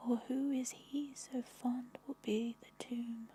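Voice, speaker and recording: A soft-spoken woman's whisper. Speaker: ASMR artist. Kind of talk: poetry reading for sleep. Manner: whispered, soft-spoken.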